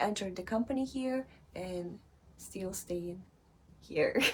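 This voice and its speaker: A woman's medium-pitched, somewhat breathy voice at a moderate pace, with lively intonation. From Russia, Eastern Siberia (Angarsk). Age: 20s. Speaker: model and former tech worker. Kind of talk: interview.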